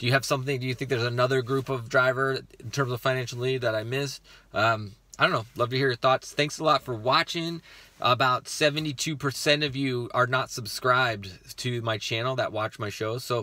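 Dry with no echo, a man's voice has a bright, sharp tone, a moderate pace and fairly even intonation. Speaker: rideshare driver vlogger. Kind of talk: casual vlog chat. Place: car. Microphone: phone near.

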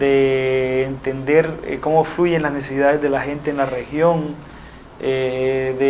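A man speaks with fairly even intonation. Light background noise is present. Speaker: interviewee. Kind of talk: interview answer. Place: studio. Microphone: lapel.

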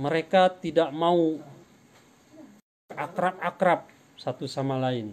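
A man's fairly high voice at a slow pace, with ordinary pitch variation

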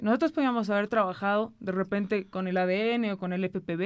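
A woman talks fairly quickly, her pitch varying in an ordinary way, with a quiet background behind her. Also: hardly any pauses. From Bolivia, Cochabamba; Bolivia. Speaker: senator. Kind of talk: political interview. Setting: studio. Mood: serious, explanatory. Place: studio. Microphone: studio mic.

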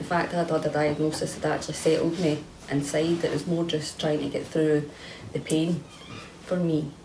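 A woman's very deep, low voice in a Scottish accent, monotone and flat at a moderate pace, with light background noise. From Scotland. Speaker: kambo participant with fibromyalgia. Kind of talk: testimony. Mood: reflective, earnest. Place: home room.

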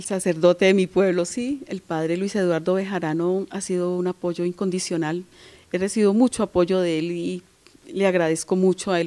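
Her tone dark and mellow, a woman talks at a moderate pace with fairly even intonation. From Colombia, Valle del Cauca. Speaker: singer-songwriter; interviewee. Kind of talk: interview. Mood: warm, moved when speaking of elders. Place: home room. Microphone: handheld.

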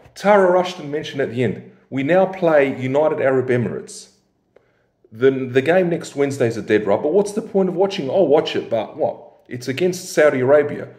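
A man talks at a fairly quick pace. Room echo is audible over a quiet background. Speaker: football fan commentator. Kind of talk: casual vlog chat. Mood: frustrated, disappointed. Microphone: phone near.

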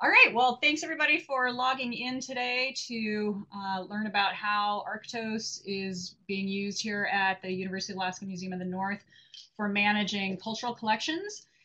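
Pitch moves in an ordinary way. The pace is moderate. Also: woman. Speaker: presenter. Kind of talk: webinar presentation. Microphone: video call.

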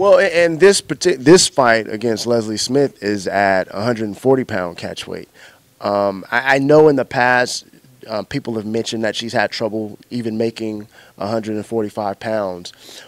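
This man has a plain, everyday voice at medium pitch, with ordinary pitch variation. He talks at a fairly slow pace, and the sound is dry with no echo. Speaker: MMA interviewer. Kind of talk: sports interview. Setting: martial arts gym. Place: gym. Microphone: handheld.

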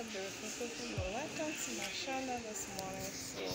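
A woman at a moderate pace, with loud music in the background. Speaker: vlogger mother. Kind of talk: casual vlog chat. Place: hall. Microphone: phone near.

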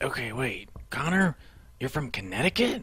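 A cartoonish character voice with a low-to-middle pitch swings very widely in pitch. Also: moderate pace. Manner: inquisitive.

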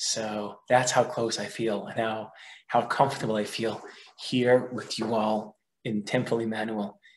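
A man speaks fairly slowly with monotone, flat intonation. Light background noise is present. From Israel. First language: Hebrew. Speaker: research fellow and teacher; teacher. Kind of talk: lecture. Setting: video call. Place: home room. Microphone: webcam.

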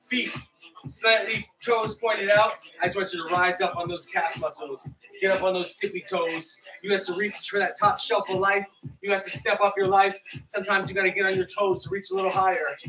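A man speaks in a raised, projected voice at a moderate pace with ordinary pitch variation, faint music in the background. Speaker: fitness instructor. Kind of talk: workout coaching. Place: home room. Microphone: earbuds.

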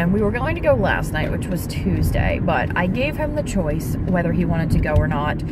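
A woman speaks at a moderate pace over loud background noise, the sound dry with no echo. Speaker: parent vlogger. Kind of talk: casual vlog chat. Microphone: phone near.

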